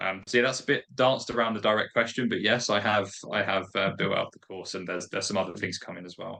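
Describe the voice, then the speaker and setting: In a Kentish accent, a man with a fairly low pitch and a bright, sharp tone rushes along at a very fast pace, hardly pausing, with ordinary pitch variation and big swings in loudness. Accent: British, Kentish. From England, Kent. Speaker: appointment setting trainer. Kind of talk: podcast interview.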